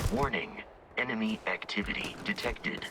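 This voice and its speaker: A put-on character voice at a low-to-middle pitch and moderate pace, with sound effects and clear background noise behind it. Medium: game stream. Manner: flat, monotone, statistical.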